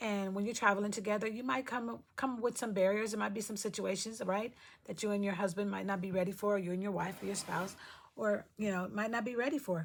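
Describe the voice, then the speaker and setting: A woman talks very fast at a medium pitch. Her intonation stays fairly even. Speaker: lifestyle vlogger. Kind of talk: casual vlog talk.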